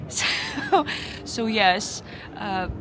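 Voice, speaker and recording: A woman speaks with audible room echo and music in the background. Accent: Ukrainian. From Ukraine. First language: Ukrainian. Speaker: bar patron. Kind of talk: casual chat. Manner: halting.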